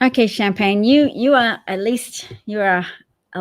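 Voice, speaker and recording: Speaking rather slowly, a woman talks in an Australian accent. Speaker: political livestream host. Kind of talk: casual livestream chat. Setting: live stream.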